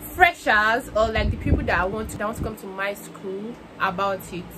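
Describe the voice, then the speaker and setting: Noticeable background noise runs behind a woman speaking at a moderate pace. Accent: Nigerian. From Nigeria. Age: young. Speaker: university student. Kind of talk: casual talk to camera.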